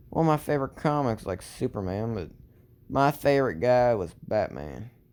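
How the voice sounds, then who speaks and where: With a Southern accent, a man speaks at medium pitch and a moderate pace, his intonation lively. The recording is very clean, with a silent background. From Texas. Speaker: storyteller. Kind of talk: improvised fan story narration. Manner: halting, many fillers.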